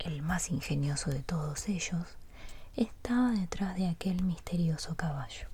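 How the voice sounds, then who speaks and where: A soft-spoken woman with a somewhat breathy, fairly low-pitched voice speaks at a fairly slow pace. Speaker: ASMR artist. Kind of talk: sleep story reading.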